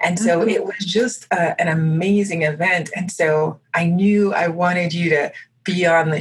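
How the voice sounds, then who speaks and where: A somewhat breathy woman's voice, fairly low in pitch. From Haitian American, grew up partly abroad. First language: French. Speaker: podcast host. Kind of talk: interview conversation.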